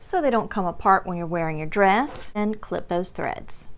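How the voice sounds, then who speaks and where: Her pitch sits in the medium range and moves in an ordinary way. The woman uses a normal speaking voice. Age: 60s. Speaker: sewing tutorial maker. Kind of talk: tutorial.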